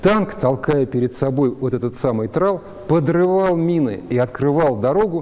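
With a dark, mellow, calm tone, a man speaks at a fairly slow pace in a fairly high pitch, using lively intonation. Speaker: historian. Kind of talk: explanatory expert commentary. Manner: calm, didactic, conversational. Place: hall. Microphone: lapel.

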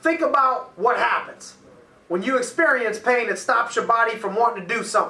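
A man at a fairly quick pace, raised and projected voice, audible room echo. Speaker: coach. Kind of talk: motivational talk. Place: office.

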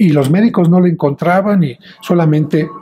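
He has an ordinary speaking voice, pitched fairly high for a man. He talks at a moderate pace with ordinary pitch variation. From Mexico, Mexico City; Mexico. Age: 60s. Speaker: priest. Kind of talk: interview; interview answer.

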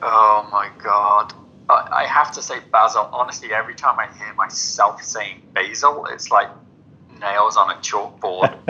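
A man talks at a fairly slow pace with big swings in loudness. Noticeable background noise runs behind him. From England, rural Devon and Cornwall. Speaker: urban farming entrepreneur. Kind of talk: interview.

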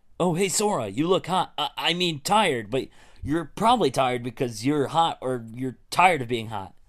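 A man performs a put-on character voice. The background is quiet. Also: fairly high pitch for a man, moderate pace.

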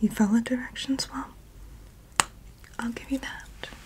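Whispering in a breathy, put-on character voice that sounds female, the speaker keeps a moderate pace. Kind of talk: ASMR roleplay. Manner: whispered, breathy; soft-spoken, intimate personal attention.

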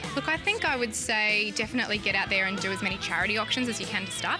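Over clear background music, the voice rushes along at a very fast pace. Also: woman, dry sound with no echo. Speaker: auctioneer. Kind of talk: interview answer. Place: home room. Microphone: lapel.

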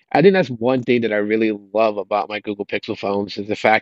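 A man speaks at a very fast pace over a quiet background, the sound dry with no echo. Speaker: tech YouTuber. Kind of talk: casual vlog chat. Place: garden. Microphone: earbuds.

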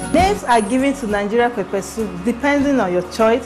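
A woman's voice with ordinary pitch variation over clear music in the background. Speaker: cooking show host. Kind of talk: tutorial. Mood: warm, friendly. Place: kitchen. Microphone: lapel.

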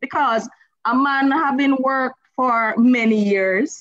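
Against a quiet background, a woman speaks with a Jamaican accent and lively intonation. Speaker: lawyer. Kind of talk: round-table panel discussion. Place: home room. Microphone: video call.

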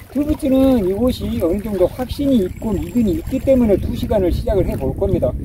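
At a moderate pace, a man talks over noticeable background noise, the sound dry with no echo. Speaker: fishing channel host. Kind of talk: tutorial. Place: waterside.

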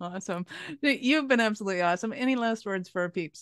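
Fast and fairly bright, a woman speaks in a clear, smooth tone with ordinary pitch variation. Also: medium pitch for a woman.

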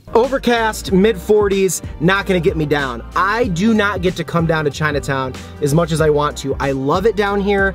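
A man's voice, dry with no echo, over clear background music. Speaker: food vlogger. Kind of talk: casual vlog chat. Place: car.

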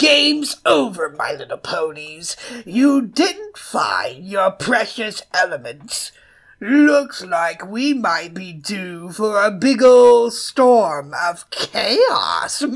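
Someone uses a put-on character voice, fairly high in pitch, speaking at a very slow pace. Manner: mocking, playful.

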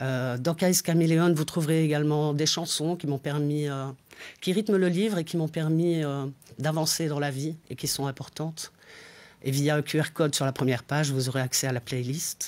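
A man's fairly high-pitched voice at a moderate pace. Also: fairly even intonation. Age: 40s. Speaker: author. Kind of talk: interview monologue. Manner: hesitant, many fillers. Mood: calm, lightly humorous. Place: studio. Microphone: lapel.

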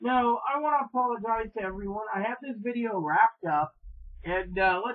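A woman talks at a moderate speed with a quiet background behind her. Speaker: vlogger. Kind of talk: casual vlog chat. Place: home room. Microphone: webcam.

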